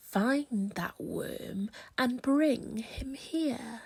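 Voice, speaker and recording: Pitched high, a woman performs a put-on character voice. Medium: read story. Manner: bossy, menacing.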